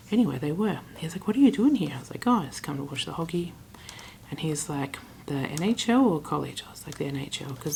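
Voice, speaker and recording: An animated woman with an Australian accent at a fairly quick pace, ordinary pitch variation throughout. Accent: general Australian. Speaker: travel vlogger. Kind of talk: casual vlog storytelling. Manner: chatty, animated.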